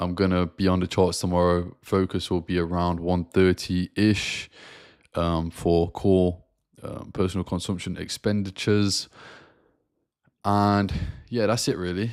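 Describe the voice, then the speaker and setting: A man with a British accent speaks fairly slowly in a very deep, low voice, leaving long, frequent pauses. His delivery is a flat monotone, on a very clean recording with a silent background. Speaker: forex trader. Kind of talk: live stream market review. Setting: live stream. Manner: casual, filler-heavy.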